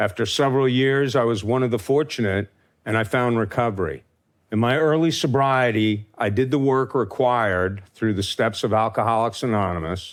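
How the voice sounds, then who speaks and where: An ordinary speaking voice from a man with an American accent, medium in pitch, at a moderate pace with ordinary pitch variation and very even loudness, in a very clean recording with a silent background. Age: 60s. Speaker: farmer. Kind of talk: talk to an audience. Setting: stage with audience.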